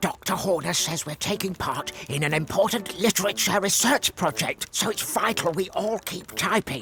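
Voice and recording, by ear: Putting on a cartoonish character voice, a man speaks with a high pitch at a moderate pace, with hardly any pauses.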